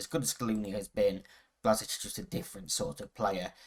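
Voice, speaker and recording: A man with an English accent, fairly low-pitched, at a fairly quick pace. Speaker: football video game streamer. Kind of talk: gameplay commentary. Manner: casual, hesitant with fillers.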